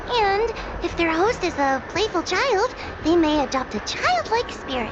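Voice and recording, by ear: A cartoonish character voice comes through over loud background noise. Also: female-sounding voice, extremely high pitch for a woman, moderate pace.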